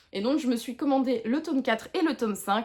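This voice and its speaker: A woman's high voice rises and falls with lively intonation. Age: 30s. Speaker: book vlogger. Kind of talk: casual chat. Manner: hesitant, many fillers.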